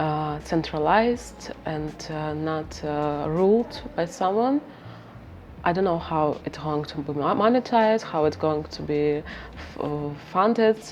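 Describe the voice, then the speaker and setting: With a Ukrainian accent, a woman speaks fairly slowly in a very deep, low voice and lively intonation. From Ukraine, Kharkiv. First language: Ukrainian or Russian. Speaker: researcher and interviewer. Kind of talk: interview. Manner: halting, many fillers.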